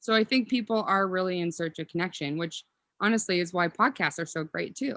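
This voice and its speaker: On a very clean recording with a silent background, the speaker talks at a fairly quick pace in a bright, sharp tone with ordinary pitch variation. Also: woman, medium pitch for a woman. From Minnesota, Willmar. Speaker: health and beauty practitioner. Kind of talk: podcast interview.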